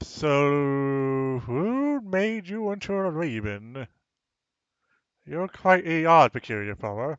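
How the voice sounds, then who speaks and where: A man puts on a character voice, speaking at a fairly high pitch and a very slow pace. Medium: actual play.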